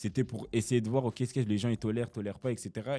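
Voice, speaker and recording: A man's medium-pitched voice in a dark, mellow tone, very fast in pace, with fairly even intonation. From Brussels, Belgium. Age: young. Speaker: rapper. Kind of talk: casual interview answer.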